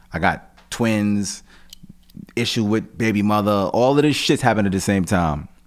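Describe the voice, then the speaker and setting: A man with an American accent speaks at a moderate pace, his pitch fairly low with ordinary variation. His loudness stays very even. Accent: New York (Queens) hip-hop vernacular. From Jamaica, Queens, New York, Jamaican family. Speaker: rapper. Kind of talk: casual interview.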